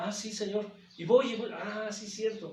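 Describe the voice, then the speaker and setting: A man's high-pitched voice comes at a moderate pace, with noticeable background noise and audible echo from the room. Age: 60s. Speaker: pastor. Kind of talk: sermon. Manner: repetitive, halting.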